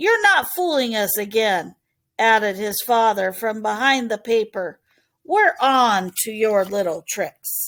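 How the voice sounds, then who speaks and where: A woman's put-on character voice, growling, fairly high in pitch, with lively intonation and a fairly slow pace, on a very clean recording with a silent background. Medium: read story.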